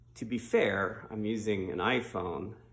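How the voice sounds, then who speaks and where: Relaxed tone with vocal fry and audible room echo. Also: man. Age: 60s. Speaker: hobbyist bass player and video maker. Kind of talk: casual tutorial. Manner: relaxed, with fillers.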